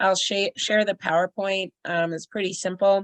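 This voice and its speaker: A woman speaks in a plain, everyday voice at a medium pitch. Her pace is moderate, with ordinary pitch variation. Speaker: emergency shelter trainer. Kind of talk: online training presentation. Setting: video call. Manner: casual, filler-heavy.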